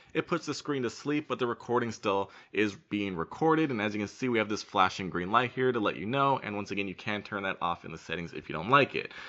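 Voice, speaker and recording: Intonation is lively in this man's speech. He talks very fast. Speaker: tech reviewer. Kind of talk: product review demo.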